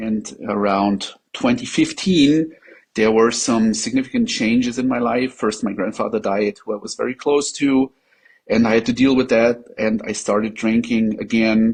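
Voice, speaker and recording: Fairly even intonation comes through in this voice with a German accent. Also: man, medium pitch for a man, moderate pace. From Germany. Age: 40s. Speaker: patient sharing experience. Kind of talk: interview testimony. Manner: halting, many fillers.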